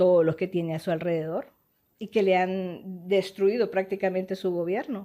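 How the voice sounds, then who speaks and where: Her dark, mellow voice is at a medium pitch for a woman. She speaks at a moderate pace with fairly even intonation. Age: 60s. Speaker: politician and doctor. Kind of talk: interview.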